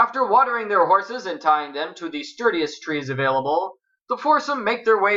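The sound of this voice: Things are quiet in the background. Over it, the reading voice sounds unforced.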